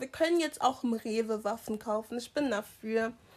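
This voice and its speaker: At a moderate pace, a woman's high voice moves with ordinary pitch variation. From Germany, immigrant family background. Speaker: podcast co-host. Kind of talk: casual chat.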